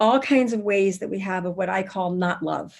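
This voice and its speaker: A woman speaks with a plain, everyday voice at a medium pitch. Her intonation is fairly even. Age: 60s. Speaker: spiritual teacher and workshop founder. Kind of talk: interview.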